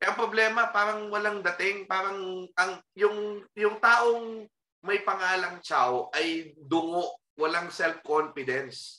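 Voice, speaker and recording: Using a raised, projected voice, a man with a high pitch and ordinary pitch variation speaks at a very slow pace. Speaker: historian and professor. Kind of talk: casual chat.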